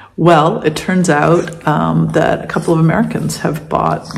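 Light background noise can be heard while a woman talks. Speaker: vlogger. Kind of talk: casual vlog chat. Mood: relaxed, cheerful. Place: home room. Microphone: phone near.

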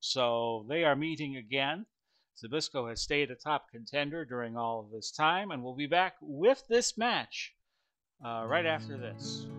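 A man speaks at a fairly slow pace, his loudness swinging widely. Faint music plays in the background. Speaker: tabletop wrestling game host. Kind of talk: commentary. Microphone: headset.

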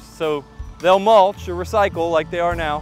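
A man at a moderate pace, dry with no echo, with faint music in the background. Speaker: mower dealer demonstrator. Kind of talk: product tutorial. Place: garden. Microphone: lapel.

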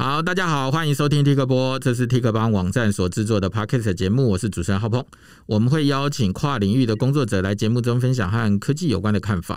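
Against a quiet background, a man with a medium pitch talks at a very fast pace with ordinary pitch variation, the sound dry with no echo. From Taiwan. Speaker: podcast host. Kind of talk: scripted intro; casual interview. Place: booth. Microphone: studio mic.

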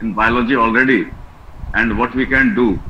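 A man with a normal speaking voice, medium pitch, fairly even intonation and a moderate pace, against light background noise. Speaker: biology teacher. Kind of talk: feedback comments. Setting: video call. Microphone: video call.

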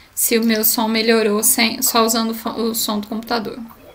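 A woman talks at a fairly slow pace while faint music sounds behind her. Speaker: event moderator. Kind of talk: event moderation. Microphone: audio problems, some could not hear her.

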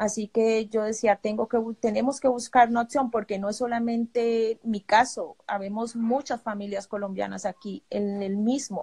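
A woman speaks in a fairly high, somewhat breathy voice with a dark, mellow tone and flat, monotone intonation. She keeps a moderate pace with hardly any pauses against a quiet background. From Colombia. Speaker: refugee. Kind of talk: testimony. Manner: halting. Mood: worried, grateful. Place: home room. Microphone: phone near.

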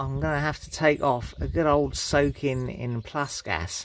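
A man's voice with ordinary pitch variation in a dry sound with no echo. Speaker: amateur mechanic vlogger. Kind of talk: casual tutorial vlog chat. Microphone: phone near.

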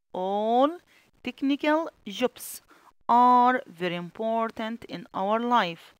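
A woman's fairly high, lively voice with an Egyptian accent at a very slow pace, dry and close with no echo. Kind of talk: tutorial. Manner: slow, repetitive dictation.

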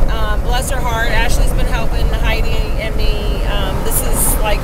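A woman speaks fairly slowly while loud background noise goes on. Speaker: vlogger. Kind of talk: casual vlog chat. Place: car. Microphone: phone near.

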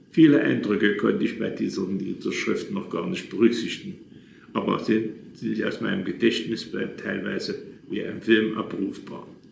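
With audible room echo and light background noise, a man speaks at a moderate pace. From Saxony, Leipzig; Saxony. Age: 80s+. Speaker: retired businessman telling his life story; witness. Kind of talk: reading aloud a written memoir. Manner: halting, with self-corrections. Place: home room. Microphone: phone near.

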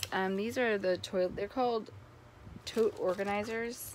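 The pitch variation is ordinary. Noticeable background noise can be heard. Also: woman. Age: 30s. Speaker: vlogger. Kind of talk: casual haul vlog. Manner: rambling with many fillers. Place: home room. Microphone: phone near.

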